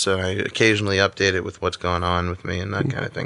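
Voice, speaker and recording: A man in a New York accent, bright and sharp in tone, with a dry, close sound and no echo. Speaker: comedian. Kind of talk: casual chat.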